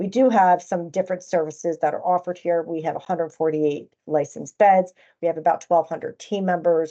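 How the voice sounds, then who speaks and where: In an American accent, a woman speaks at a fairly quick pace with hardly any pauses. Her pitch is fairly low. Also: ordinary pitch variation. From New Jersey, US. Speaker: chief nursing officer. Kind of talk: conference presentation. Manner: hesitant, with frequent fillers.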